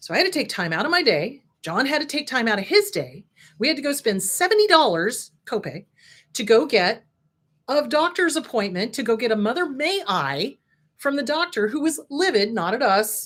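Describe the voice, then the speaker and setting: Here a woman with an American accent speaks at a moderate pace in an animated tone, her high pitch moving in very wide swings, on a very clean recording with a silent background. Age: 60s. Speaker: licensed counselor and show host. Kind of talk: casual talk, educational monologue.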